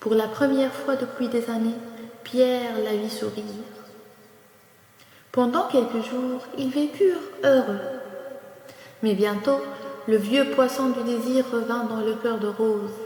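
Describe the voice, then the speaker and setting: A soft-spoken woman with a high pitch and ordinary pitch variation talks at a very slow pace with long, frequent pauses over noticeable background noise. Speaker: storyteller. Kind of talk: bedtime story narration. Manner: soft-spoken, calm.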